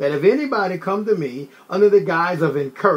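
Reading done in a natural voice

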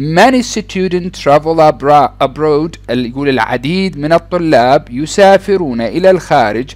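A man with lively intonation at a fairly slow pace. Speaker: English teacher. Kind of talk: tutorial.

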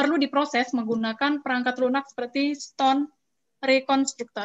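Against a quiet background, a woman with a high voice talks at a very fast pace in a monotone, flat delivery. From Indonesia. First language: Indonesian. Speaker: master of ceremonies; webinar moderator. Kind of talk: event moderation. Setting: video call. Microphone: video call.

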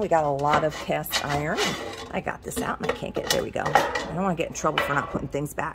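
Over loud background noise, a woman speaks at a fairly quick pace with ordinary pitch variation. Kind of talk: casual vlog chat. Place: shop. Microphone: phone near.

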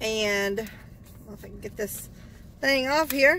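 A woman speaks against light background noise, her voice dry with no echo. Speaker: vlogger. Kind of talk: casual vlog chat. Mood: cheerful, upbeat. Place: car.

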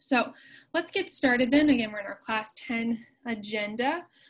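A woman speaks at a high pitch. Her pitch varies in an ordinary way. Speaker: college instructor. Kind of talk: lecture. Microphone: video call.

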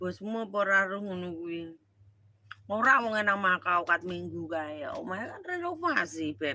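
A woman with a bright, sharp tone speaks at a fairly slow pace with ordinary pitch variation, in a dry sound with no echo. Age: middle-aged. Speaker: live streamer. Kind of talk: casual live stream chat. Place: home room. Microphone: phone near.

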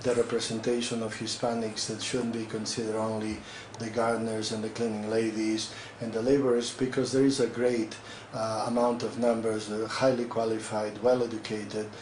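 Against light background noise and audible room echo, a man speaks at a fairly quick pace. His intonation is monotone and flat. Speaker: guest. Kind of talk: interview answer. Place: office. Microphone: camera far.

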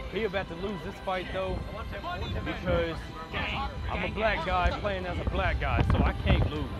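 Loud music plays in the background as a man speaks in a dry sound with no echo. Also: moderate pace. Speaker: gaming vlogger. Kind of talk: casual vlog chat. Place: street. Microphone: phone near.

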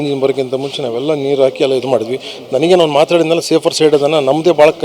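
With noticeable background noise behind him, a man speaks in a fairly high pitch and a monotone, flat intonation. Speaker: fire survivor, family member of victims. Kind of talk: eyewitness account to reporter.

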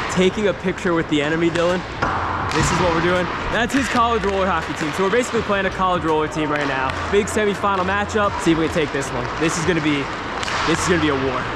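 A man races along at a very fast pace while loud background noise fills the clip. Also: ordinary pitch variation. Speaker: hockey player vlogger. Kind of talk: casual vlog chat. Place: stadium. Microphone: lapel.

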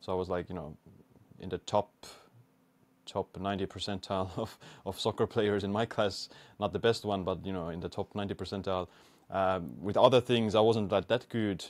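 Speaking in an Estonian accent, a man with a fairly low pitch keeps a moderate pace and fairly even intonation, with long, frequent pauses. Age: 20s. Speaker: biohacker and YouTuber. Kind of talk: interview. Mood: relaxed, reflective. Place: home room. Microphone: studio mic.

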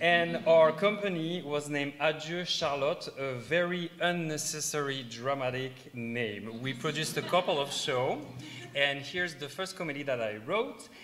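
Speaking with a French accent, a man uses a fairly high voice with ordinary pitch variation at a moderate pace. Noticeable background noise is present. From south of France. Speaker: middle school teacher and stage actor. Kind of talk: live presentation to an audience. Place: hall.

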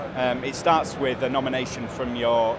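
Loud background noise fills the recording. A man speaks with a dry sound and no echo. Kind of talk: interview answer. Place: hall.

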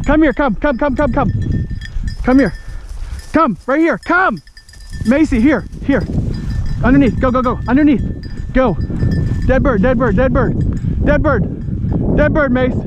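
Fairly slow speech, a dry sound with no echo and noticeable background noise. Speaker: bird hunter. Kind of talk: commands to hunting dog. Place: open country. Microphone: phone near.

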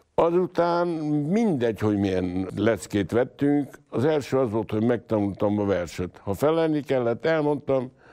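A man with a dark, mellow tone, very wide pitch swings and a fairly slow pace. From Transylvania, Romania (Târgu Mureș). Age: 70s. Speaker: stage actor. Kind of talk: interview storytelling. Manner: loud.

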